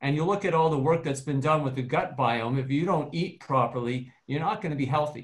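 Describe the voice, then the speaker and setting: A man speaks with a fairly high pitch and a somewhat breathy sound. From Canada. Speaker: dentist. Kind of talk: panel discussion.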